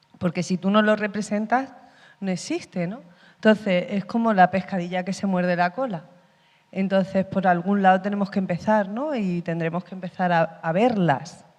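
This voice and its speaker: At a moderate pace, a woman with an Andalusian accent speaks at medium pitch with ordinary pitch variation. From Andalusia, Spain. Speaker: actress. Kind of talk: panel discussion. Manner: halting.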